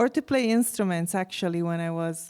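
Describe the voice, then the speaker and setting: A woman with an Italian accent speaks with a fairly low pitch and a dark, mellow tone. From Italy, Venice area. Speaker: musician and university faculty. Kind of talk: interview.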